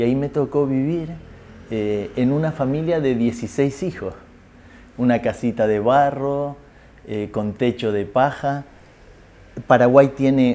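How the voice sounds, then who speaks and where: A dark, mellow tone at a fairly slow pace, with ordinary pitch variation and long, frequent pauses. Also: man. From Canary Islands, Spain. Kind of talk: interview testimony. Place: home room.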